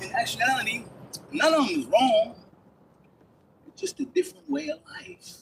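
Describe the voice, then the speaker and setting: This man talks at a moderate pace with an extremely high pitch. He leaves long, frequent pauses. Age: 60s. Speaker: passerby in a park. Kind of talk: casual chat. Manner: animated.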